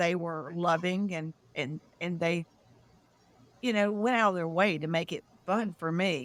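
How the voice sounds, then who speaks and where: A woman with a Southern US accent talks at a fairly slow pace in a medium pitch with fairly even intonation, recorded very cleanly against a silent background. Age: 60s. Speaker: UFO contactee, disclosure founder. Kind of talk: interview testimony.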